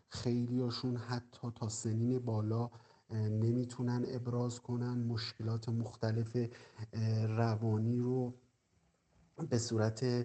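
A man with a medium pitch speaks at a very slow pace in a flat monotone, leaving long, frequent pauses. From Iran, Qazvin province. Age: 30s. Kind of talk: interview testimony. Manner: halting, many pauses.

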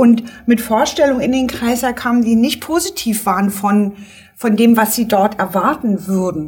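A woman talks at a moderate pace. Her pitch rises and falls in an ordinary way. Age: 50s. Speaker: midwife. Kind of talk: casual chat.

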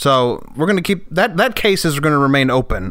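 The man here talks at a fairly quick pace. Noticeable background noise can be heard too. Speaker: comedy podcast host. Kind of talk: casual chat.

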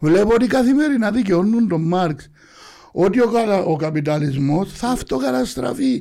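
A man with a Cypriot accent speaks at a high pitch and moderate pace, with very wide pitch swings. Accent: Cypriot Greek. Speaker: football supporters' group leader. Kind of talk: interview.

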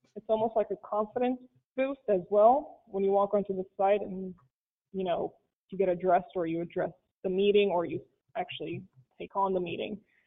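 With a slight non-native accent, a woman speaks at a medium pitch with ordinary variation, moving at a fairly quick pace broken by long, frequent pauses. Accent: foreign accent, slight. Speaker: architect panelist. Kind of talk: panel discussion.

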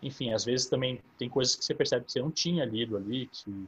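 The man's voice is somewhat breathy and medium in pitch. He speaks at a moderate pace. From São Carlos, interior of São Paulo, Brazil. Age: 30s. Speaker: recently approved diplomatic exam candidate. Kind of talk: online Q&A talk.

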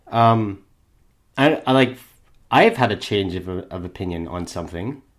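Fairly low-pitched man, fairly slow and with lively intonation, on a very clean recording with a silent background. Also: long, frequent pauses, big swings in loudness. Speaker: podcast co-host. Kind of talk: casual chat. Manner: sometimes trumpety and showy.

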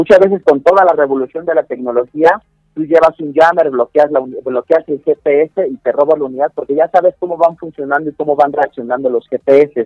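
In an unremarkable speaking voice, a man talks at a moderate pace with a fairly high pitch and fairly even intonation. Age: 20s. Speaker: security tech company director. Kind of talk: interview. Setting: phone call.

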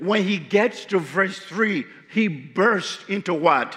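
A man speaks with a Liberian accent. His pitch varies in an ordinary way. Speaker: guest preacher. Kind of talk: sermon. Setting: church.

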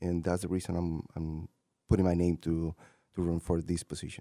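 A man with a Spanish accent and a dark, mellow tone is heard in a dry, close recording with no echo and a silent background. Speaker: city council president and candidate. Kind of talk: interview. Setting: radio studio.

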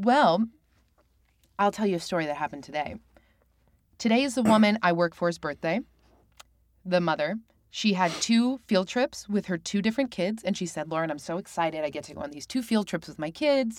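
Over a very clean, silent background, a woman speaks at a fairly quick pace and medium pitch with lively intonation, big swings in loudness, and long, frequent pauses. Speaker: improv comedian guest. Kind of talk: casual chat.

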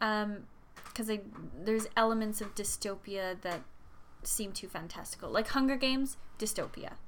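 A woman at a moderate pace, in an Albertan accent, fairly high-pitched with ordinary pitch variation. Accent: Canadian (Alberta). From central Alberta, Canada. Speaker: podcast co-host, substitute teacher. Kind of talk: casual chat.

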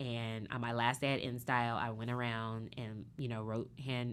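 With an American accent, this woman talks. Her voice is very deep and low. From US Pacific Northwest (Seattle). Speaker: fashion and beauty magazine editor. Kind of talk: interview conversation.

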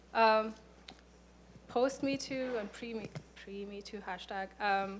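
A woman talks at a very slow pace and a fairly high pitch, with fairly even intonation and big swings in loudness. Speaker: student and educator. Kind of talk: panel discussion.

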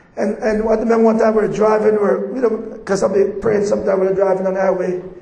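Someone with a Jamaican accent talks at a very fast pace with fairly even intonation over noticeable background noise. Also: man. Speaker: visiting preacher. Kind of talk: sermon. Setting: church with audience.

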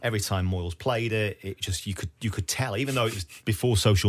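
This man speaks fairly quickly in a fairly low, somewhat breathy voice. The recording is very clean with a silent background. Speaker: radio presenter and podcaster. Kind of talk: casual chat. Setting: studio.

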